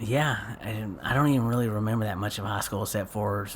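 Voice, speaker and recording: Speaking at a moderate pace and medium pitch, a man talks with an East Texas accent. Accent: East Texan. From East Texas, Paris. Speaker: local community figure. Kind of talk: casual chat.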